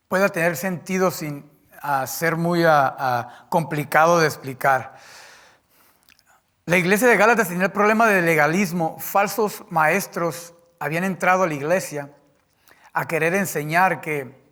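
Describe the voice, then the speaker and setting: Speaking at a fairly slow pace with long, frequent pauses, a man with a non-native accent uses a high pitch and a bright, sharp tone. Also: ordinary pitch variation. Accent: speaks Spanish imperfectly, a bit clipped. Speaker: preacher. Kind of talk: sermon. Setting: church. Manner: halting.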